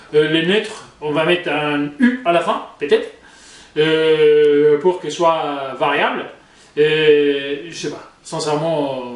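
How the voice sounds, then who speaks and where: A man's high-pitched voice, with ordinary pitch movement, comes through audible room echo and noticeable background noise. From Spain. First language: Spanish (speaking French). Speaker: YouTuber, commentator. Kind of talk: casual vlog commentary. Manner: hesitant, many fillers.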